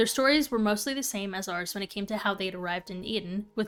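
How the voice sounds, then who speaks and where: Speaking at a very fast pace, a woman keeps to a medium pitch. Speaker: streamer. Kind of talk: reading aloud.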